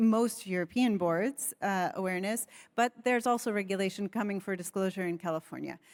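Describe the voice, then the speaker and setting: With an American accent, a woman uses a normal speaking voice at a medium pitch with ordinary pitch variation, on a very clean recording with a silent background. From United States. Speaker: panelist on sustainability governance. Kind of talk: panel discussion.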